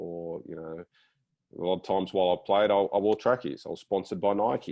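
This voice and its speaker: A man with an Australian accent. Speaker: former professional footballer. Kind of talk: panel discussion. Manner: hesitant, many repetitions.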